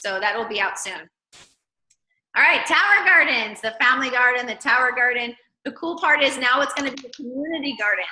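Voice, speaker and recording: Animated in tone, a woman with a high pitch speaks at a fairly quick pace with lively intonation and big swings in loudness. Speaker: network marketing team leader. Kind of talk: video call presentation.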